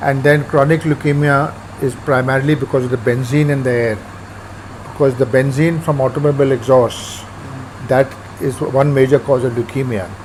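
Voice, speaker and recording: A man at a medium pitch talks at a fairly quick pace with fairly even intonation and long, frequent pauses, amid noticeable background noise. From India, Punjab. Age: 70s. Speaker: urban farmer. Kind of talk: interview.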